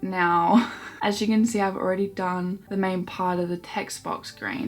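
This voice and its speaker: Speech comes at a fairly slow pace in a relaxed tone. Background noise is noticeable. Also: woman. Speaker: hobby vlogger. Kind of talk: casual chat while colouring.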